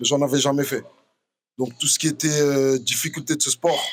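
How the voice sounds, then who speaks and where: A man talks at a fairly high pitch with a monotone, flat intonation. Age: 30s. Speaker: professional boxer and former rapper. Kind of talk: podcast interview. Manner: casual, many fillers.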